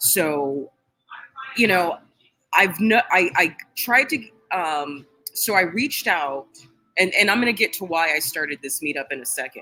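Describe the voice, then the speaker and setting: With long, frequent pauses, a woman talks at a moderate pace in a fairly low voice. Her tone is animated and her intonation lively. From California. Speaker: political vlogger. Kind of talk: livestream rant. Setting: restaurant. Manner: loud.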